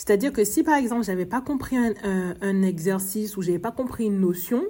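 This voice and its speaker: A woman with an Antillean accent, medium in pitch, at a fairly quick pace. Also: ordinary pitch variation. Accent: Antillean accent, drops R sounds. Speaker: podcast host, early childhood educator. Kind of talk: podcast monologue, personal story. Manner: stammering, halting.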